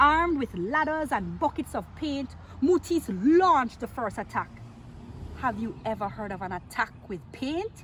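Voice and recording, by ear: Her pitch is high for a woman and swings widely. This woman has a fairly bright tone and a fairly slow pace.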